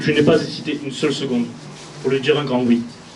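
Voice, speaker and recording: Amid noticeable background noise and audible room echo, a man speaks at a fairly quick pace with fairly even intonation. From southern France (Gard). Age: 20s. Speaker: municipal election candidate. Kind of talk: campaign speech. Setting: stage with audience. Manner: formal.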